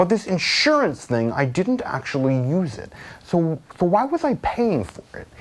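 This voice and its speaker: A man with a high voice, very wide pitch swings and big swings in loudness, moderate pace, noticeable background noise. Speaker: online ad spokesperson. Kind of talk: sales pitch. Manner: casual.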